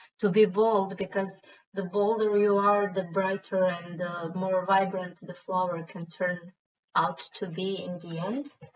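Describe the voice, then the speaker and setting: A woman in a Croatian accent speaks fairly slowly in a somewhat breathy, medium-pitched voice with monotone, flat intonation. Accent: Croatian accent, self-described as bad. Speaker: stone painting artist. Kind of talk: tutorial.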